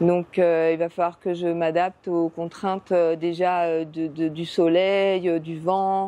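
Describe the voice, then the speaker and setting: Against a quiet background, a woman with a fairly low pitch and a dark, mellow tone speaks at a very slow pace in monotone, flat intonation. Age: 60s. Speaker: beekeeper. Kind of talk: interview. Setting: greenhouse. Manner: hesitant, many fillers.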